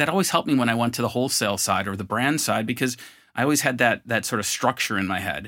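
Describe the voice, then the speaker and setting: A man with a Western New York accent talks at a very fast pace in a bright, sharp tone. The recording is very clean with a silent background. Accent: Western New York American. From US, Buffalo, New York. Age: 50s. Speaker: marketing executive and co-founder. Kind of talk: interview. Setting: studio.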